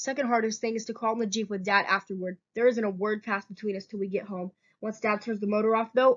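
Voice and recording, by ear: The clip is reading aloud in a natural voice, with fairly even intonation and a quiet background.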